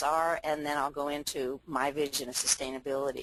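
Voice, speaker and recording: A woman with an American accent talks at a moderate pace. Her pitch is very deep and low. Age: 60s. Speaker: farmer. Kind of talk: presentation. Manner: hesitant, many fillers.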